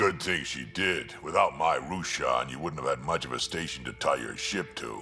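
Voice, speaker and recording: A man uses a put-on character voice, very deep and low, at a moderate pace. Clear music plays in the background. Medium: game stream. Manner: gruff, blunt.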